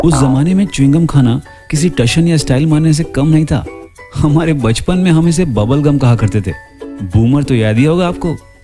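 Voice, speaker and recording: Over music in the background, a man with a fairly high pitch speaks at a moderate pace with ordinary pitch variation. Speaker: voice-over artist and radio jockey. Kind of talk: nostalgic storytelling narration to camera. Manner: warm, conversational, nostalgic.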